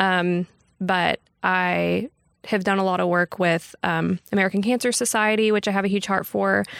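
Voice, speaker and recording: This woman talks with a Texan accent at a medium pitch, a moderate pace, fairly even intonation and very even loudness. The sound is dry and close with no echo, in a very clean recording with a silent background. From Texas, Texarkana. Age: 20s. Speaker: bank marketing professional. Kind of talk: casual chat. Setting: recorded livestream.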